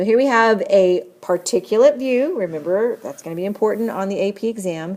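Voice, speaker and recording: With a plain, everyday voice, a woman talks at a fairly quick pace and medium pitch, hardly pausing, with ordinary pitch variation and big swings in loudness. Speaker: chemistry teacher. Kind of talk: lecture. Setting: screencast recording.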